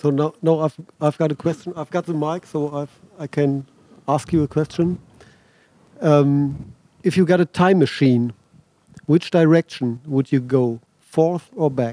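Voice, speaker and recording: A man with a German accent talks at a fairly slow pace with long, frequent pauses, his dark, mellow tone sitting at a fairly high pitch with fairly even intonation. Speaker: music interviewer. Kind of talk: interview. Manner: halting.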